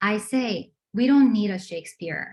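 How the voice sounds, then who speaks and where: A woman's fairly high, somewhat breathy voice at a fairly slow pace, with ordinary pitch variation. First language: not English. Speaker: adult education math instructor presenting. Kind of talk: online presentation. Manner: halting, many fillers.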